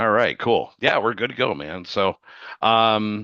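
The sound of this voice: Lively intonation at a fairly slow pace. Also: man, fairly low pitch for a man.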